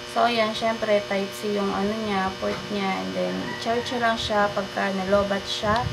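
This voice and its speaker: Amid noticeable background noise and audible room echo, a woman speaks at a fairly slow pace. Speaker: vlogger. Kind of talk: product review. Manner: soft-spoken.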